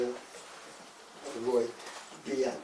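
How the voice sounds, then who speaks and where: A man speaks over noticeable background noise. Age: 80s+. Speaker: architect. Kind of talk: phone call. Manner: hesitant, halting.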